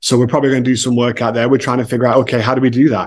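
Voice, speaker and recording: American accent, from a man. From England, Manchester. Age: 40s. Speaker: author and entrepreneur. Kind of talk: casual interview.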